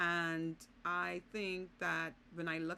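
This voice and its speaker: The speaker is a woman with a Bahamian accent. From Bahamas. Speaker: vlogger and business consultant. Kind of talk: casual vlog monologue.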